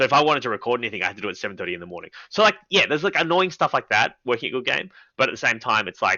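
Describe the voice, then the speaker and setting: Talking at a very fast pace, a man with an Australian accent and a medium pitch makes very wide pitch swings. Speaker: comedian and TV presenter. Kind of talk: casual interview chat. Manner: fast, filler-heavy.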